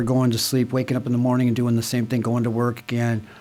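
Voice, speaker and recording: Medium-pitched male voice with an American accent, over noticeable background noise. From Santa Monica, California. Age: 60s. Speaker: speaker at AA meeting. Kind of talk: testimony. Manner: casual, filler-heavy.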